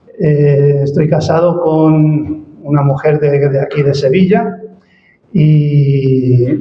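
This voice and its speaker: A fairly high-pitched, somewhat breathy man's voice with fairly even intonation and audible room echo. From Spain. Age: 60s. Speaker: ministry director, guest speaker. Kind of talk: church presentation. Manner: hesitant, many fillers.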